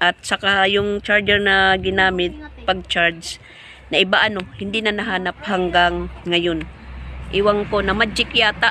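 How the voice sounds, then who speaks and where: A woman's medium-pitched voice, monotone with flat intonation, at a fairly slow pace over noticeable background noise. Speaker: vlogger. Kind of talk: casual vlog talk. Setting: outdoors behind the house.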